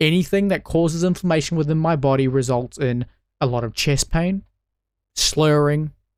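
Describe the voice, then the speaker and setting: In a New Zealand accent, a man with a fairly high voice talks at a moderate pace, leaving long, frequent pauses. His loudness stays very even, and his pitch varies in an ordinary way. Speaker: political commentator. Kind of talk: political commentary monologue.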